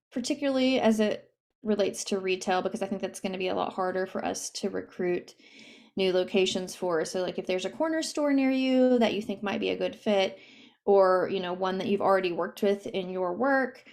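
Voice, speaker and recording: This woman has a medium pitch and ordinary pitch variation. She talks at a fairly quick pace. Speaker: nonprofit program director. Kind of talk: presentation on a video call. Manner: fast.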